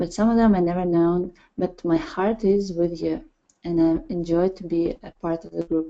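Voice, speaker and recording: A dark, mellow tone with fairly even intonation. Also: woman, fairly low pitch for a woman, moderate pace. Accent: Russian. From Russia. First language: Russian. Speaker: parenting project leader. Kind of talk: presentation. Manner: halting. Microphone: connection sometimes drops.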